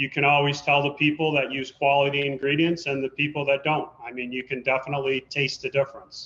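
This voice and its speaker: A man talks in a fairly high pitch. His intonation is flat and monotone. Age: 60s. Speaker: pizza restaurant owner. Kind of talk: interview.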